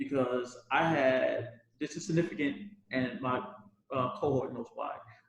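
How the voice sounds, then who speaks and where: At a fairly slow pace, a man with an American accent and an ordinary speaking voice talks at a medium pitch with ordinary pitch variation. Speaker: former Peace Corps volunteer teacher. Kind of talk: panel discussion.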